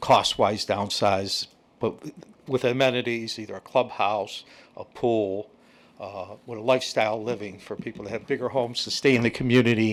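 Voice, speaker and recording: A man speaks in a plain, everyday voice at a medium pitch and moderate pace. His intonation is fairly even, though his loudness swings widely. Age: 60s. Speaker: real estate developer. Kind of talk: public meeting presentation.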